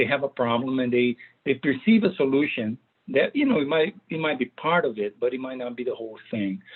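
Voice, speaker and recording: A man with a Brazilian accent and medium pitch talks at a fairly quick pace. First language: Portuguese. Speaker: data management consultant and author. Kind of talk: presentation. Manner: hesitant, many fillers.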